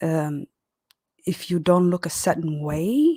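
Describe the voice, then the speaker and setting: Speaking at a fairly slow pace with a non-native accent, a woman has a fairly low pitch and a dark, mellow tone, recorded with a dry, close sound and no echo. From Horn of Africa. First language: not English. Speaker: caller. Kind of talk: live chat call-in. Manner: halting.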